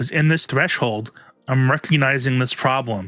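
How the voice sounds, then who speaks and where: Music plays behind a man with a strong New York accent. His medium pitch varies in an ordinary way. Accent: thick New York. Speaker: self-help youtuber. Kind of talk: vlog monologue. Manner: slurred enunciation.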